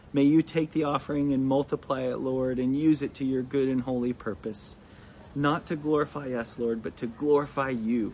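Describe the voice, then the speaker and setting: A man's dark, mellow tone with fairly even intonation at a moderate pace. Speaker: church member leading offering. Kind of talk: devotional talk.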